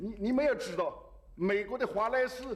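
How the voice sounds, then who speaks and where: This man's voice sits at an extremely high pitch, and he keeps a moderate pace. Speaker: head of state. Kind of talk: impromptu answer to press questions.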